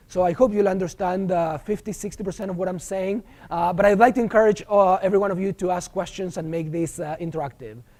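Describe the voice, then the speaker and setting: A man's high-pitched voice with a strong Argentine accent, very fast and with hardly any pauses. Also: ordinary pitch variation. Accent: thick Argentine Spanish. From Argentina. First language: Spanish. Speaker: professor. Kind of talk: lecture. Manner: hesitant, many filler sounds.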